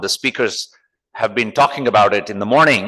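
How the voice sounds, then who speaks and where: Ordinary pitch variation and a bright, sharp tone against a quiet background. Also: man. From India, Mysore. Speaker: technology executive, conference speaker. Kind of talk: conference talk. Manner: conversational.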